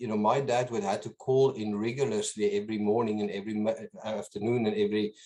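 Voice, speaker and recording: Speaking with a slight South African accent, a man at medium pitch moves at a fairly quick pace with ordinary pitch variation. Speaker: business owner. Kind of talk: interview. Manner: halting, many repetitions.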